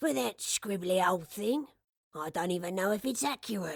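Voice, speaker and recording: Putting on a raspy character voice, a woman talks with very wide pitch swings. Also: medium pitch for a woman, moderate pace. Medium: read story. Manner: warm, kindly.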